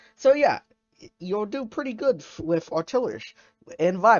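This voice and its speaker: The speech moves at a moderate pace with music in the background. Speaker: gaming youtuber. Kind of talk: gameplay commentary. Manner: halting, stuttering; casual, filler-heavy.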